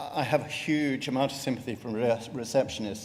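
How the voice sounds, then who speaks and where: Against noticeable background noise, a man speaks at a fairly quick pace with fairly even intonation. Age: 60s. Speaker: retired GP and melanoma patient. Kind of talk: patient testimony talk.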